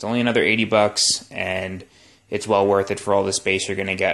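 A man speaks with a fairly bright tone and fairly even intonation.

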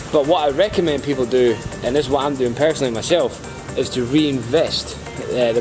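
The intonation stays fairly even. Music is clearly audible in the background. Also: man. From Scotland. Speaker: crypto promoter vlogger. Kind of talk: casual talk to camera. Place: waterside. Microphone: phone near.

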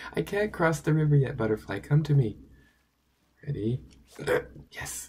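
Lively intonation marks this man's fairly high voice, which has a dark, mellow tone. He sounds somewhat breathy and keeps a moderate pace. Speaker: dermatologist gaming youtuber. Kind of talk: casual gameplay commentary. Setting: at home. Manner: animated.

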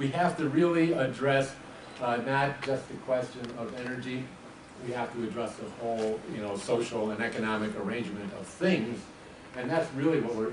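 Pitch variation is ordinary. Noticeable background noise sits behind the speech. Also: man, moderate pace. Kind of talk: opening speech. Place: meeting room. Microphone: camera far.

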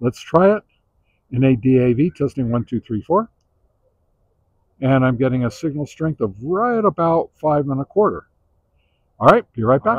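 A man's medium-pitched voice with big pitch swings, a slightly husky edge, long and frequent pauses, and a dry, close sound with no echo

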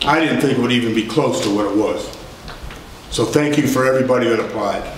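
There is audible room echo and light background noise. A man speaks with ordinary pitch variation. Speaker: town council member. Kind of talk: meeting remarks. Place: hall. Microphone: camera far.

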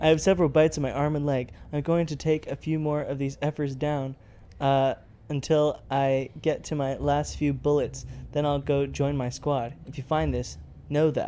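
Doing a put-on, robotic character voice at a moderate pace, a man speaks with fairly high pitch over clear background noise. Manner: flat, robotic delivery.

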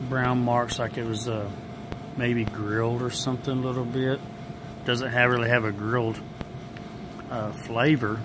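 Flat, monotone speech comes at a moderate pace with long, frequent pauses over noticeable background noise. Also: man. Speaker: food reviewer. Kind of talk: casual taste-test vlog chat. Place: hall. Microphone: phone near.

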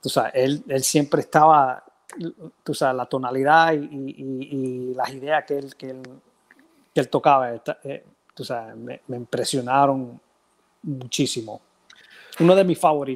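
A man at a fairly slow pace, with fairly even intonation, big swings in loudness, and long, frequent pauses. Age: 50s. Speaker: percussionist; interview guest. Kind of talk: casual interview. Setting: video call from home. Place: home room. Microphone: earbuds.

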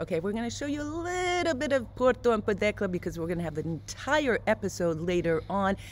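A woman talking at a very fast pace, with very wide pitch swings and hardly any pauses. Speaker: travel vlogger. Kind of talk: casual vlog chat. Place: street. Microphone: phone near.

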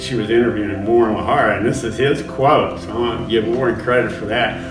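With clear music behind him, a man is talking. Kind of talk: interview answer. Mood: amused, laughing storytelling. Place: studio.

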